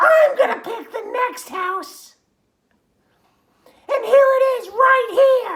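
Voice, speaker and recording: A put-on character voice that sounds female reaches extremely high pitch. It moves at a very slow pace with long, frequent pauses. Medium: read story. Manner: emphatic storybook reading.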